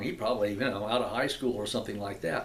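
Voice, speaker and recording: A man is speaking. There is audible room echo. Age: 70s. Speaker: actor and video blogger. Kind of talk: casual vlog talk to camera. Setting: computer room in apartment. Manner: halting, many fillers and repetitions.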